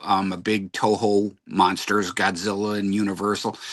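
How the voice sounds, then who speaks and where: A man's fairly low-pitched voice against a quiet background. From US Midwest (Detroit area, Michigan). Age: 60s. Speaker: podcast host guest, music fan. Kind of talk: casual chat. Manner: halting, repetitive.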